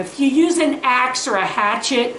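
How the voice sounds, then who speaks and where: A woman speaks in an animated, high-pitched voice, with noticeable background noise and audible room echo. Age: 60s. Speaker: farmer and DIY video host. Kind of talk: casual tutorial. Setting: outdoors.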